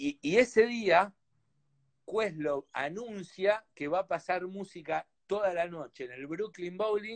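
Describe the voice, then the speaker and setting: A man in a Rioplatense accent, high in pitch, at a very slow pace, with lively intonation and big swings in loudness against a quiet background. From Argentina. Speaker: DJ and musician; DJ. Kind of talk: casual chat. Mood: animated, enthusiastic storytelling. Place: home room. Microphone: video call.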